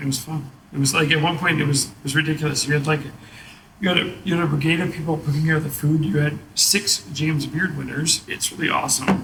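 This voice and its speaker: Amid noticeable background noise, a man talks at a very fast pace in a fairly high pitch with fairly even intonation. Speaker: chef and restaurant owner. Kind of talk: casual chat. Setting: bar.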